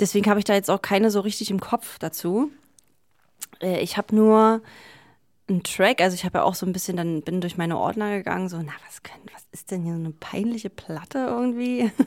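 On a very clean recording with a silent background, a woman with an unremarkable speaking voice talks at a fairly quick pace and medium pitch, showing ordinary pitch variation and big swings in loudness. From Berlin, Germany. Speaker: DJ. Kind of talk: interview.

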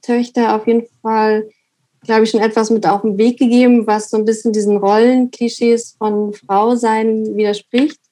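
This woman's voice has a dark, mellow tone and a fairly high pitch, delivered at a fairly slow pace in a monotone, flat intonation. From eastern Germany, Weimar. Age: 30s. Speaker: artist. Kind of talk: interview.

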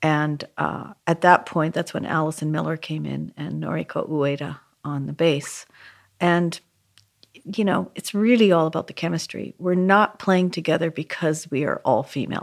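A woman with a Canadian accent speaks in a very deep, low voice at a moderate pace. The recording is very clean with a silent background. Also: ordinary pitch variation. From Canada, Vancouver. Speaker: jazz pianist and composer. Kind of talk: interview.

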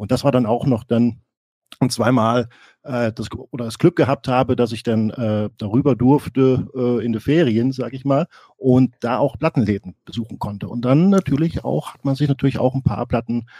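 At a moderate pace, a man talks in a medium-pitched voice with a dark, mellow tone and ordinary pitch variation, the sound dry and close with no echo. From East Germany. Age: 40s. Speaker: music podcaster. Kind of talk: casual chat.

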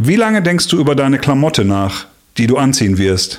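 A man at a moderate pace, fairly high in pitch, with very wide pitch swings. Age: 40s. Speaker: podcast host, worship musician. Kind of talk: casual chat.

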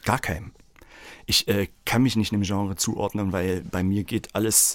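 A man at a fairly low pitch and fairly slow pace, with fairly even intonation, in a very clean recording with a silent background. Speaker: music school director and children's songwriter. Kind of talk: casual chat. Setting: studio.

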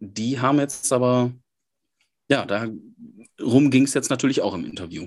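A man speaks at medium pitch with a northern German accent and ordinary pitch variation. The background is quiet. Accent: sounds northern German. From Germany, Münsterland. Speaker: podcast co-host, newsletter writer. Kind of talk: casual chat.

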